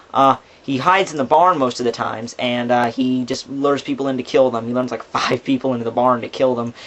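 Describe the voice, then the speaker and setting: A man rushes along at a very fast pace with hardly any pauses, using a medium pitch and fairly even intonation over noticeable background noise. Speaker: movie reviewer. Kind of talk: casual movie review talk to camera.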